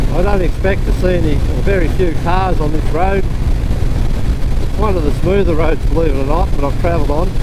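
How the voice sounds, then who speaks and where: At a moderate pace and with hardly any pauses, a man keeps his loudness very even, with noticeable background noise and audible room echo around him. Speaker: motorcycle vlogger. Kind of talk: casual vlog narration while riding. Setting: outdoors on a motorcycle. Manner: louder than usual.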